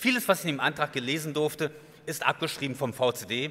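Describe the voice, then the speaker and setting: A man at a fairly quick pace with ordinary pitch variation, over light background noise. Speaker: advocacy group chair; guest. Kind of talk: guest speech. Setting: stage with audience. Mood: critical, ironic. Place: hall. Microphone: podium.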